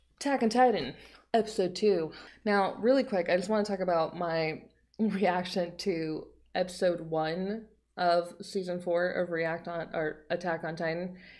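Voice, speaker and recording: Over a quiet background, a woman talks at a fairly slow pace with ordinary pitch variation. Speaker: anime reaction YouTuber. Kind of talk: casual vlog chat. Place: home room.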